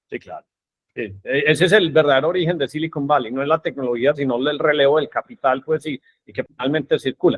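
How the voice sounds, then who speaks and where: A man's fairly high voice at a very fast pace, with ordinary pitch variation. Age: 50s. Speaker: podcast host. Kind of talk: podcast interview.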